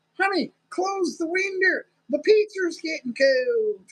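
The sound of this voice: Lively intonation marks this put-on character voice, performed in a Texas accent. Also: woman, extremely high pitch for a woman, fairly slow pace.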